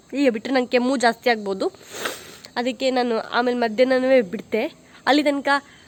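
Over noticeable background noise, a woman with a high voice speaks with fairly even intonation. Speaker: vlogger. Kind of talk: casual vlog. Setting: outdoors in garden.

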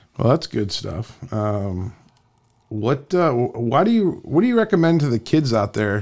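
A man talks with an American accent. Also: quiet background. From Canton, Ohio, US; Ohio. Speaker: podcast host. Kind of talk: casual interview. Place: studio. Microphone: studio mic.

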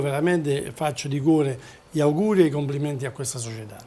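A man with a fairly high pitch and ordinary pitch variation. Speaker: football club president; guest. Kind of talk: TV interview. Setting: TV studio. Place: studio. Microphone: lapel.

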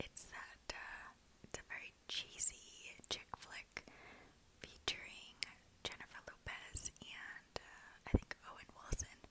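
A relaxed, whispering woman at a very slow pace. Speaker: ASMR creator who works in human resources. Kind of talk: ASMR whisper ramble. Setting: lo-fi home recording. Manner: whispered, relaxed, rambling. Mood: relaxed, smiling. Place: home room. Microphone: earbuds.

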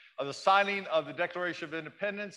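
In front of a quiet background, a man with a high pitch speaks with fairly even intonation. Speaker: pastor. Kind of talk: church welcome and announcements. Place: church.

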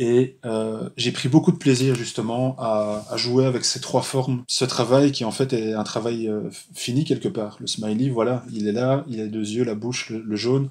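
A medium-pitched male voice at a fairly slow pace, with fairly even intonation and hardly any pauses. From Belgium, Charleroi. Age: 40s. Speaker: graphic designer and zine maker. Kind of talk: interview. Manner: halting, many hesitations.

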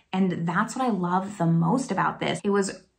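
Speaking with an American accent, a woman sounds somewhat breathy and uses ordinary pitch variation. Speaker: beauty YouTuber; beauty vlogger. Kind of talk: product review video. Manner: casual, chatty. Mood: pleased, warm. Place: home room.

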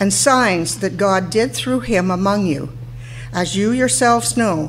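Light background noise behind a woman speaking. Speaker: lay scripture reader. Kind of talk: scripture reading. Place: church. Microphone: podium.

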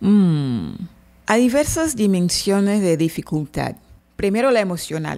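The voice has a dark, mellow tone and a Portuguese accent. It moves at a fairly slow pace with very wide pitch swings. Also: woman, medium pitch for a woman. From Brazil, Salvador, Bahia. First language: Portuguese (speaking Spanish). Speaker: translator and interpreter. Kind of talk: interview. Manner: halting.

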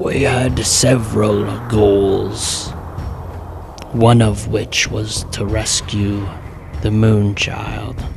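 A man uses a raspy, put-on character voice, speaking very slowly at a fairly low pitch over clear background noise. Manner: echoing, otherworldly.

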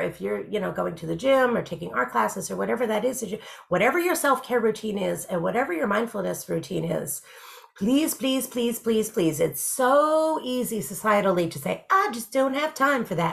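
A woman with an American accent speaks with very wide pitch swings. Noticeable background noise is present. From United States. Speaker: life coach. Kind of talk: advice talk to camera. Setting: video recording. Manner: warm, reassuring.

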